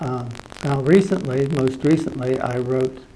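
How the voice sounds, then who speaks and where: A man with a medium pitch talks at a fairly slow pace with ordinary pitch variation. Audible room echo and noticeable background noise surround him. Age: 70s. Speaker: complainant. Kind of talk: formal meeting.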